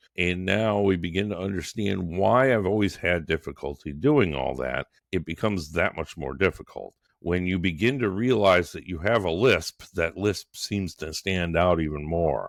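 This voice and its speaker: With vocal fry and hardly any pauses, a man talks at a very deep, low pitch. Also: ordinary pitch variation, moderate pace, very clean recording, silent background. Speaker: podcast host, entrepreneur. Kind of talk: solo podcast monologue. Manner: halting.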